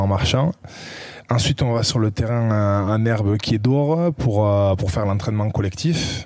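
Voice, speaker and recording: This man speaks with a southwestern French accent and a fairly low pitch. His tone is dark and mellow, and his loudness stays very even. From southwest France. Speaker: professional rugby player. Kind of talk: podcast interview answer. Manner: hesitant, casual.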